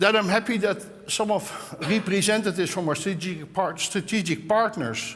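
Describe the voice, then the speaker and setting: Audible room echo surrounds a voice with a Dutch accent. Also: man. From Netherlands. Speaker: tech executive opening a conference. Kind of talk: conference opening speech. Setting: stage with audience. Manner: halting.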